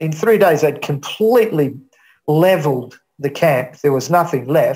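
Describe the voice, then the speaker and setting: This man's voice sits fairly high and is somewhat breathy, with ordinary pitch variation. He talks at a fairly slow pace. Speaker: aid worker. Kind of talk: interview.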